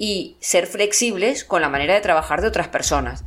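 A woman's fairly quick speech in a plain, everyday voice, at a medium pitch. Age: 50s. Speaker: psychologist and writer. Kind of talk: interview.

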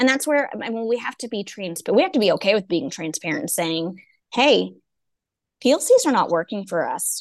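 A woman with an American accent speaks at a fairly high pitch and a moderate pace. Her pitch swings very widely over a quiet background. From East Texas. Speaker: education consultant and coach. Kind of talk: casual interview.

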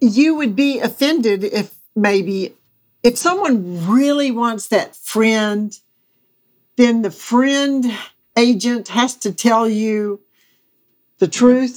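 A woman with a Southern US accent talks very slowly in a fairly high voice, leaving long, frequent pauses. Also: ordinary pitch variation. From US South, Mississippi. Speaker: real estate agent. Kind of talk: casual interview chat.

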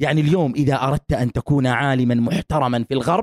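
A man at a fairly quick pace with ordinary pitch variation, recorded dry and close with no echo. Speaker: academic researcher on feminism. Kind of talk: casual interview chat. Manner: animated.

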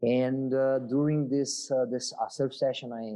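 A man with a Portuguese accent speaks at a fairly slow pace. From southern Brazil. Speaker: marine biologist. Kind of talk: interview. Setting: video call. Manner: halting.

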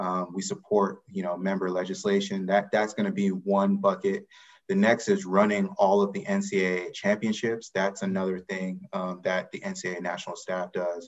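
With an American accent, a man talks at a moderate pace and hardly pauses at all. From US South, Atlanta, Georgia. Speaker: college athletics eligibility administrator. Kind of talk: interview.

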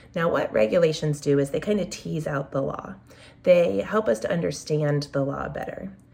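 The speaker is a woman with an American accent. Noticeable background noise runs behind her. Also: moderate pace. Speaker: special education advocacy podcast host. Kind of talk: educational explainer podcast. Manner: casual, conversational.

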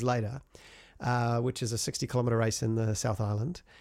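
A man in a New Zealand accent talks at a fairly quick pace. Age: 40s. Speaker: music composer and sound designer, runner. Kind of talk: casual interview chat. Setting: video call from home studio.

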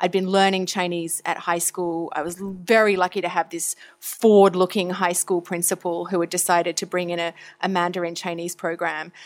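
A woman's flat, monotone voice with an Australian accent at a moderate pace, on a very clean recording with a silent background. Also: fairly low pitch for a woman. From Australia (Tasmania, Victoria). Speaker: foreign correspondent. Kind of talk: interview.

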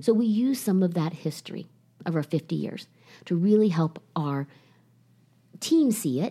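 This woman with an American accent has a somewhat breathy, dark, mellow tone at medium pitch and lively intonation. She speaks at a moderate pace on a very clean recording with a silent background. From Ohio. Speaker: salon company CEO. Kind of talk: interview.

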